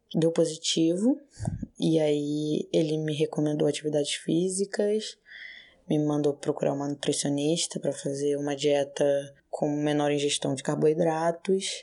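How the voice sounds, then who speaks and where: In a quiet background, a woman with a very deep, low pitch and a dark, mellow tone talks at a fairly slow pace. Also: fairly even intonation. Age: 20s. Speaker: patient sharing experience. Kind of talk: personal testimony.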